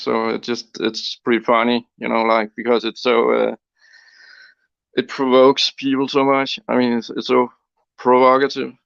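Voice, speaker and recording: Over a quiet background, a man with a Danish accent speaks at a medium pitch with fairly even intonation. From Denmark. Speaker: antinatalist interviewee. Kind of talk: interview. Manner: halting.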